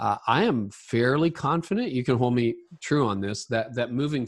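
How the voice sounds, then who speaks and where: A man with a plain, everyday voice speaks at a medium pitch with lively intonation. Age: 50s. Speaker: leadership podcaster and author. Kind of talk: interview.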